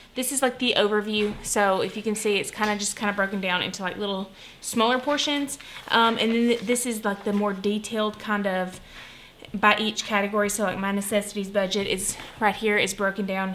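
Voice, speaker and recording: Over noticeable background noise, a woman speaks at a fairly quick pace. Her voice sits at a medium pitch with fairly even intonation. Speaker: budgeting vlogger. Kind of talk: casual tutorial. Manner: soft-spoken.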